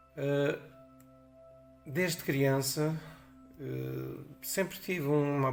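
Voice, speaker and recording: Noticeable background noise and audible room echo behind a man's voice. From Portugal, Torres Novas area. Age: 60s. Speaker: teacher. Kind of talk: testimony.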